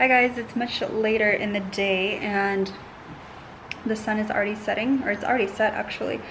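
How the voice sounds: A woman speaks at a moderate pace in a medium pitch with a fairly bright tone. Her intonation is fairly even, with faint background noise.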